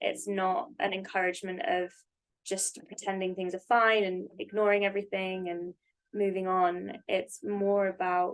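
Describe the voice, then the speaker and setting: At a fairly slow pace, a woman with a British accent talks at a medium pitch. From UK. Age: 20s. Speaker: podcast guest, therapist. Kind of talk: casual chat.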